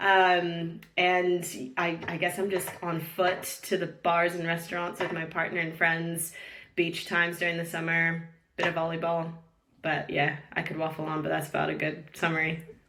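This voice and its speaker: With a North American accent, the speaker talks at a moderate pace in a monotone, flat intonation, and audible room echo surrounds the voice. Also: woman, fairly low pitch for a woman. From San Diego, California, US. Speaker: real estate recruiter. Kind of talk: podcast interview.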